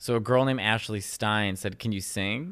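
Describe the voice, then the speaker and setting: With a Chicago accent, a man speaks at a fairly low pitch. His intonation stays fairly even. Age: 30s. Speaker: comedian. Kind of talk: casual chat. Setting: studio.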